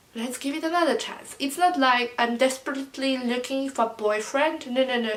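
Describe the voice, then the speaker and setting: Her pitch high with ordinary variation, a woman speaks in a non-native accent. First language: not English. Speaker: vlogger. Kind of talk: storytime vlog. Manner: hesitant, many fillers.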